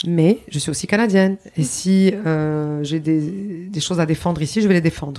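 A woman's dark, mellow, fairly low-pitched voice at a moderate pace, with ordinary pitch variation and hardly any pauses. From Lebanon. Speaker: public relations consultant and speaker. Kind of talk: interview. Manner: halting.

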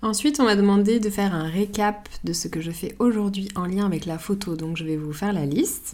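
A woman with a dark, mellow tone and medium pitch speaks at a fairly quick pace. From Paris, France. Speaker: podcast host, photographer. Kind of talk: solo podcast monologue, answering listener questions.

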